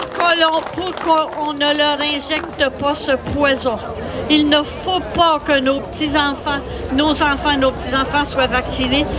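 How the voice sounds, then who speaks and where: A woman speaks very slowly in a high, monotone, flat voice. Audible room echo and crowd noise fill the background. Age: 80s+. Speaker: protester. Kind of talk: speech to a crowd.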